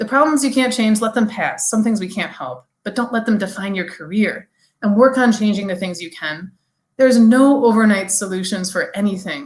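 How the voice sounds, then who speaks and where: A woman's fairly high, somewhat breathy voice with ordinary pitch variation. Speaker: language teacher, keynote speaker. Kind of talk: conference keynote talk. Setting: virtual conference, video. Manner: fast, especially when excited; animated.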